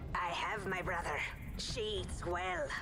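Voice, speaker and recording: A put-on character voice at a fairly slow pace, over loud background noise. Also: female-sounding voice. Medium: game stream.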